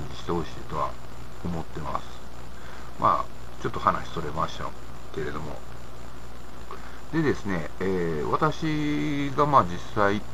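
Over noticeable background noise, a man with an Osaka accent talks at a moderate pace in a fairly low voice. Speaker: independent commentator. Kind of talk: casual talk to camera. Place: home room. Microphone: webcam.

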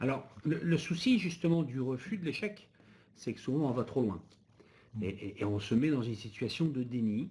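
A man with a dark, mellow tone and a somewhat breathy quality speaks at medium pitch. His pitch swings very widely at a moderate pace. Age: 50s. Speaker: business owner and association president. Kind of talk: webinar panel discussion.

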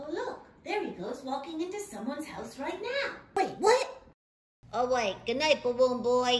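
A female-sounding cartoonish character voice, pitched high. It moves at a moderate pace. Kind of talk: puppet horror parody.

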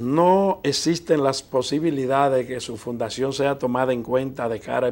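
The man's voice has a medium pitch. He takes his words at a fairly slow speed. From Dominican Republic. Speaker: TV interview show host. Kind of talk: TV interview. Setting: TV studio. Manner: formal. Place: studio. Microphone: lapel.

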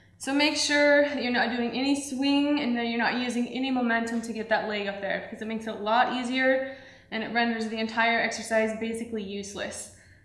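At a fairly quick pace, a woman talks with high pitch and fairly even intonation in a room with audible echo. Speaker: fitness trainer. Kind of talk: workout instruction. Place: studio.

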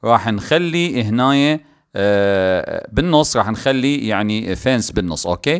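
With an Iraqi accent, a man speaks at a fairly slow pace. His pitch is medium and his intonation lively. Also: very clean recording, silent background. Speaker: gaming YouTuber. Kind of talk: gameplay commentary. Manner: animated; halting, many fillers.

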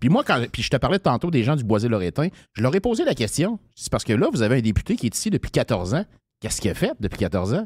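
A man talks very fast with very wide pitch swings, on a very clean recording with a silent background. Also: medium pitch for a man. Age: 50s. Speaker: political candidate. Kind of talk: interview. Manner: casual.

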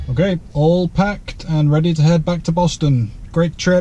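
A man at a moderate pace with fairly even intonation, in a dry sound with no echo. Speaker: EV road trip vlogger. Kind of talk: casual vlog chat. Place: car. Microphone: camera far.

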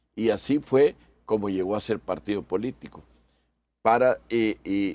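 A man speaks slowly at a fairly low pitch, his tone dark and mellow. His pitch varies in an ordinary way. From El Salvador. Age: 60s. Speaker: electoral magistrate and lawyer; interview guest. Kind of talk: radio interview. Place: studio.

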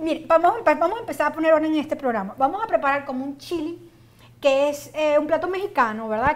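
Her voice is high in pitch. The woman's pitch variation is ordinary. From Venezuela. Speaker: cooking show host. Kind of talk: casual chat; tutorial. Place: studio. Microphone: lapel.

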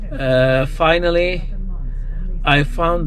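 The sound is dry, with no echo and light background noise. A man speaks with monotone, flat intonation. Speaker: food vlogger. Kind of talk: casual vlog chat. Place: car. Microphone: phone near.

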